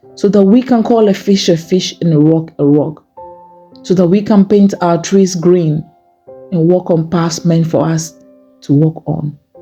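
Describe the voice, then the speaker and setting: Music plays in the background as a woman speaks at a fairly slow pace, with fairly low pitch, ordinary pitch variation and very even loudness. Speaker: poet. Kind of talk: spoken word poetry reading; prayer poem.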